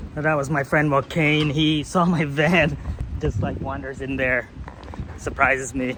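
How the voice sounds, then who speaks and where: A man with an American accent speaks at a fairly slow pace, his pitch fairly high and his intonation fairly even. Noticeable background noise runs under the recording. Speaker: vlogger. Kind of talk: casual vlog narration.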